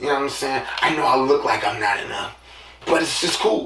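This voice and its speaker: A man is speaking amid noticeable background noise. Audible room echo surrounds his voice. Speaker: podcast host. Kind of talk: casual monologue.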